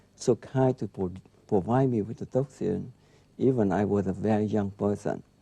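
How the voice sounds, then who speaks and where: A man with a non-native accent and a fairly low pitch, a dark, mellow tone, fairly even intonation and a moderate pace, in a dry, close sound with no echo. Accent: foreign. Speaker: neurologist. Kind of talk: interview. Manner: halting.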